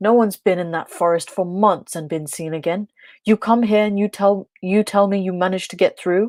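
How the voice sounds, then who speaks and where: A gruff, put-on character voice at a middle pitch moves at a fairly quick pace. The recording is very clean, with a silent background. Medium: read story. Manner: gruff, scolding.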